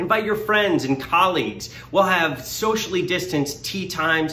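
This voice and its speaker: Over light background noise and audible room echo, a man projects a raised voice at a high pitch, his intonation lively and his tone upbeat. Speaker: benefit auctioneer. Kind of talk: promotional video read inviting people to a fundraising event. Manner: friendly, upbeat.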